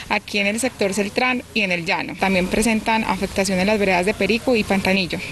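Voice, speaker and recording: At a fairly quick pace, a woman talks with ordinary pitch variation over light background noise. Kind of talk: interview answer. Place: garden. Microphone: handheld.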